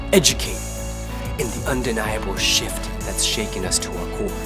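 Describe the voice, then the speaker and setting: A man with an American accent at a fairly quick pace, music in the background. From United States. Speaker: spoken word poet. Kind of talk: spoken word poetry performance.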